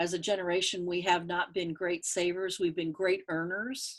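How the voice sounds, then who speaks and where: This woman talks at a medium pitch in a monotone, flat delivery. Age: 60s. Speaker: market researcher and author. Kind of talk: interview.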